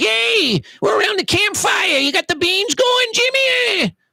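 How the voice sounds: In a put-on character voice, the speaker goes fairly slowly at an extremely high pitch.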